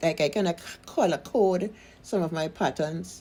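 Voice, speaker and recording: In a dark, mellow tone with vocal fry, a woman speaks at a fairly slow pace, her fairly low pitch moving with ordinary variation. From Trinidad and Tobago. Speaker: seamstress and pattern maker. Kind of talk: casual sewing tutorial talk.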